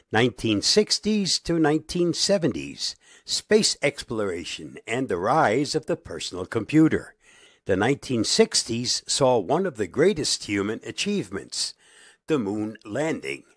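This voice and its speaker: On a very clean recording with a silent background, a man at medium pitch speaks at a fairly slow pace, his pitch swinging very widely through vocal fry. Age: 80s+. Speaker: tech video host. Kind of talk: scripted narration.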